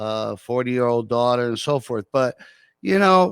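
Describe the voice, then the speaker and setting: A man talks at a medium pitch, and the sound is dry and close with no echo. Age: 70s. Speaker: museum and farm owner. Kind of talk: casual interview.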